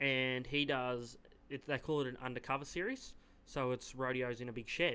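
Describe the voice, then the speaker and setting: A man's bright, sharp tone sits at a medium pitch, with an Australian accent. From Yass, New South Wales, Australia. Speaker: rodeo team roper. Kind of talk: casual chat. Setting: studio.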